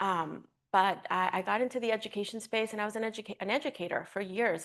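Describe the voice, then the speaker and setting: Against a quiet background, a woman talks with vocal fry and ordinary pitch variation. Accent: American. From Uruguay, then South Florida from age ten. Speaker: environmental education director. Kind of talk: panel discussion.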